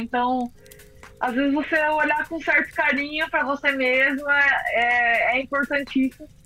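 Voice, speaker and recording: Over background music, a woman with a high pitch uses a raised, projected voice and fairly even intonation. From interior of São Paulo state, Brazil (Araras). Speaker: professional triathlete. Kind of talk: interview.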